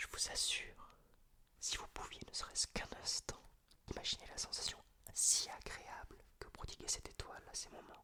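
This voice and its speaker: A man whispers at a moderate pace, with long pauses coming often. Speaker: ASMR creator. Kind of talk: whispered reading of a story he wrote. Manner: whispered, soft.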